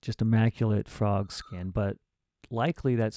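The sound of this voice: The reading voice is unforced, its intonation fairly even, with a quiet background behind it.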